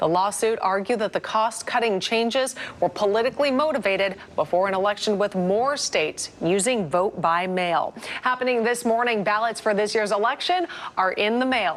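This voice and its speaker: A woman talks at a moderate pace in an ordinary speaking voice, her pitch fairly high. Her loudness stays very even, and her pitch varies in an ordinary way. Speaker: television news anchor. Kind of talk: TV news broadcast delivery.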